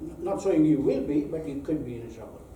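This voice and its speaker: Speaking with a non-native accent, a man keeps a moderate pace and fairly even intonation amid audible room echo. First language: not English. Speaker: accountant giving a talk. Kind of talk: presentation to live audience.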